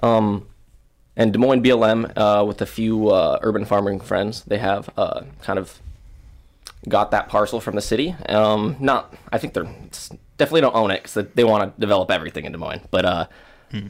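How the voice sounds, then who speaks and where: A man speaks at a moderate pace in a fairly low pitch, with an American accent. He has a plain, everyday voice with ordinary pitch variation. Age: 20s. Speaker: event promoter. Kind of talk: casual chat.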